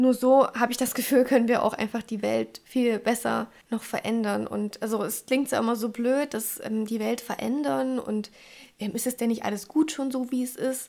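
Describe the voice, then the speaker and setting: Intonation stays fairly even. The recording is very clean with a silent background. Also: woman, fairly high pitch for a woman, moderate pace. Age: 20s. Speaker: podcast host. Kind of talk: solo podcast talk.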